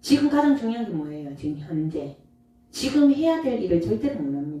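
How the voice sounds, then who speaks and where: A woman's fairly low voice with very wide swings in pitch. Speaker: Buddhist monk giving dharma talk. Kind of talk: dharma talk to audience. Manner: animated.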